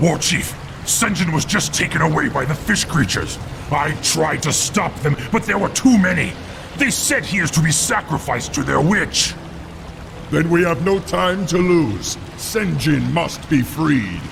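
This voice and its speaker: In a put-on character voice, a man talks at a moderate pace with a fairly high pitch over loud background noise. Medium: solo performance.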